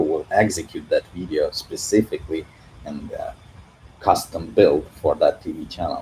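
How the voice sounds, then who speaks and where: A man with a Russian accent is heard over noticeable background noise. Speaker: CG artist and YouTuber. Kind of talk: livestream Q&A. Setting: livestream from living room. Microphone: echo in room.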